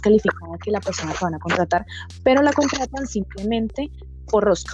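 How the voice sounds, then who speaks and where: Very fast speech from a woman over noticeable background noise. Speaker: tech community podcast host. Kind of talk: casual interview.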